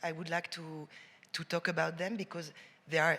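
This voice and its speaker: With a French accent, a woman speaks at a moderate pace in a fairly low, bright, sharp voice with monotone, flat intonation. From France. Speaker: cultural administrator. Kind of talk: panel discussion.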